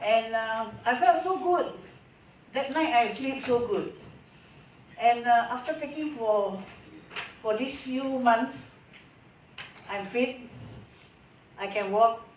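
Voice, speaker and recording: Very slow, with long, frequent pauses, a woman speaks at a high pitch with lively intonation, amid audible room echo and noticeable background noise. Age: 60s. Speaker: customer giving testimonial. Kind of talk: testimony.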